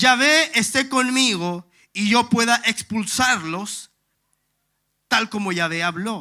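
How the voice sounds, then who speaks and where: A man's raised, projected voice with a bright, sharp tone, on a very clean recording with a silent background. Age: 30s. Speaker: pastor. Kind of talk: sermon.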